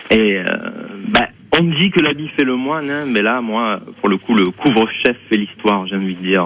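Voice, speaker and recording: A man speaks at a medium pitch and a fairly slow pace over noticeable background noise. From southern France, Provence and Ariège. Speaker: mime and clown performer. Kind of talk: radio phone interview. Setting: phone call. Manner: hesitant, many fillers.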